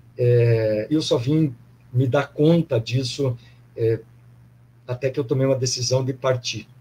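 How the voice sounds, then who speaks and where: A medium-pitched man's voice, dark, mellow and somewhat breathy, with fairly even intonation, very even loudness, and long, frequent pauses. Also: fairly slow pace. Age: 60s. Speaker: former athlete, pilgrim sharing experience. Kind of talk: casual testimony in online live panel.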